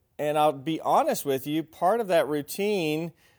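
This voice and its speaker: A man with an American accent and an ordinary speaking voice talks at a moderate pace with fairly high pitch on a very clean recording with a silent background. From Argentina (missionary kid), then US. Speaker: parenting teacher at church men's class. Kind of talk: teaching. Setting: church class.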